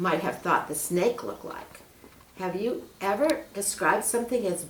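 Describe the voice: Someone is doing plain reading aloud. Pitch variation is ordinary.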